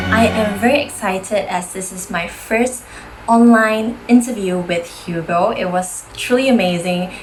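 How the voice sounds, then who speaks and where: Music plays in the background as the voice, in a room with audible echo, shows big swings in loudness and ordinary pitch variation. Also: woman, medium pitch for a woman, fairly slow pace. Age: 20s. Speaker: model and host. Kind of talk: promotional video message.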